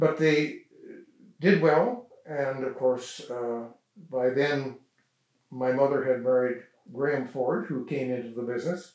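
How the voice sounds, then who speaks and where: A man of medium pitch with a western Canadian accent, fairly even intonation, a fairly slow pace and long, frequent pauses. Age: 80s+. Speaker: local elder sharing family history. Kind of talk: oral history interview. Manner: halting, many fillers.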